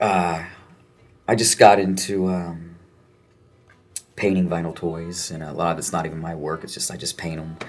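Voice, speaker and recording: Very deep and low, a man's voice stays monotone and flat, broken by long, frequent pauses. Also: moderate pace. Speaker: punk musician. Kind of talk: interview.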